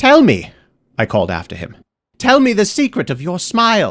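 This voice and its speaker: A man uses a put-on character voice, high-pitched and raspy. He speaks at a moderate pace. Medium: read story. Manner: hesitant, halting.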